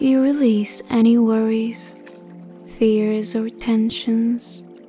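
Music plays in the background as a woman speaks very slowly. Her fairly high voice stays monotone, with flat intonation. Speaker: meditation guide. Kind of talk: guided sleep meditation. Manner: hypnotic, calming.

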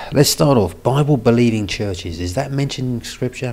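This man talks at a fairly slow pace with a medium pitch, a slightly mellow tone and lively intonation.

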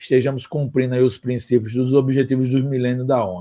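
A man speaks at a moderate pace in a dark, mellow tone against a quiet background. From Rio de Janeiro, Brazil. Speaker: marketing consultant and startup mentor; guest. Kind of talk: interview. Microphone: video call.

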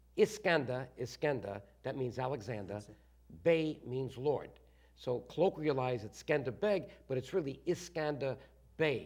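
A man with an American accent at a moderate pace, lively in intonation, with long, frequent pauses against a quiet background. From Bronx, New York. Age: 60s. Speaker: guest, former congressman. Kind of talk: interview answer. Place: studio. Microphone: lapel.

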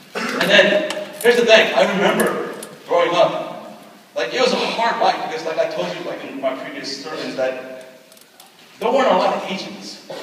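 With light background noise and strong room echo, a man speaks at a moderate pace in a high pitch that swings very widely. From California and Dallas, Texas, Korean-American. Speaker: pastor. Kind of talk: testimony. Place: hall. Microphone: camera far.

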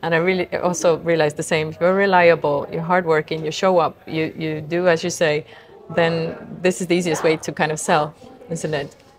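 Fairly low-pitched female voice, fairly quick and monotone with flat intonation, over noticeable background noise. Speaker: podcast host. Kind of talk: interview.

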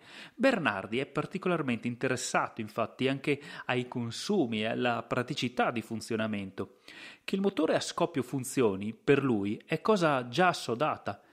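With a plain, everyday voice, a man speaks at a medium pitch and moderate pace with lively intonation in a very clean recording with a silent background. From Italy, Verona province (Lessinia). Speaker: podcast host and storyteller. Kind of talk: scripted narration.

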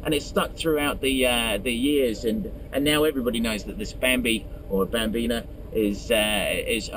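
With noticeable background noise, a man speaks at a fairly quick pace in a dry sound with no echo. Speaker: car show host. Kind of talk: commentary. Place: car.

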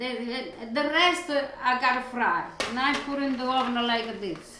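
A woman with a high pitch and a bright, sharp tone speaks at a fairly slow pace with ordinary pitch variation amid strong room echo.

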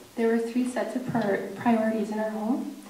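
Audible room echo and light background noise surround a monotone, flat delivery at a moderate pace. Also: woman. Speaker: speaker. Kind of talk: prepared speech. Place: hall. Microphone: podium.

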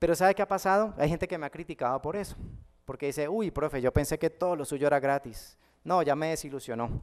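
Very fast delivery against a quiet background. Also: man, fairly high pitch for a man, ordinary pitch variation. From Colombia, Cali. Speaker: math teacher and online educator; math teacher, online educator. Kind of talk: conference talk. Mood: warm, humorous. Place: hall. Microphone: podium.

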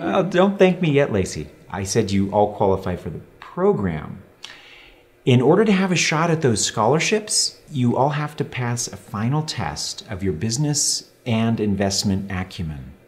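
A man talks at a moderate pace with vocal fry. His pitch swings very widely. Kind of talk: scripted drama dialogue. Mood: upbeat, enthusiastic. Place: office.

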